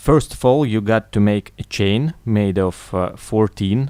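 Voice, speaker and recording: In a very clean recording with a silent background, a man talks with a non-native accent. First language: not English. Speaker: chainmaille tutorial maker. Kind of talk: tutorial. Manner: halting.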